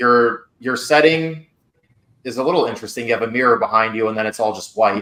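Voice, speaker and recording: Bright and sharp in tone, a man talks at a fairly quick pace. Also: medium pitch for a man, ordinary pitch variation. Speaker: interview coach. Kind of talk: feedback session. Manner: fast; casual.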